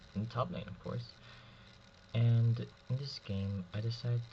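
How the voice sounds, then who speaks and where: A man's somewhat breathy voice at a fairly slow pace. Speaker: gaming commentator. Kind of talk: gameplay commentary.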